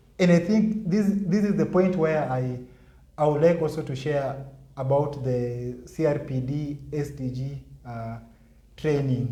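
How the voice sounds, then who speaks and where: A man's fairly high-pitched voice, dark and mellow in tone and somewhat breathy. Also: ordinary pitch variation, fairly slow pace. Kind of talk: interview answer.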